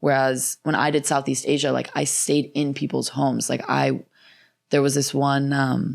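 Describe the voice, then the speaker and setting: A woman talks at a moderate pace in a very deep, low pitch with vocal fry and monotone, flat intonation. Loudness stays very even on a very clean recording with a silent background. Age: 20s. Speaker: attorney and world traveler. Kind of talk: casual chat. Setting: in-person podcast studio.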